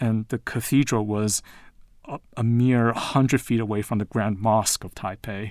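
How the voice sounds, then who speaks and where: A man with an unremarkable speaking voice, medium pitch and fairly even intonation, on a very clean recording with a silent background. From Taiwan and the US. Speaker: literature professor. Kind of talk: interview.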